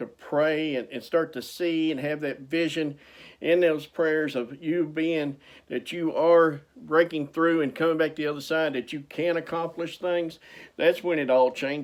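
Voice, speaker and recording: A man speaks in an ordinary speaking voice at a fairly slow pace, his pitch fairly high and his intonation fairly even, on a very clean recording with a silent background. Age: 60s. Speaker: motivational speaker and author. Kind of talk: motivational talk.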